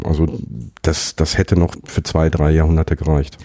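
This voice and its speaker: A man's dark, mellow tone carries along at a moderate pace. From Ruhr area, Germany. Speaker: podcaster. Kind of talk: casual chat. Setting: office.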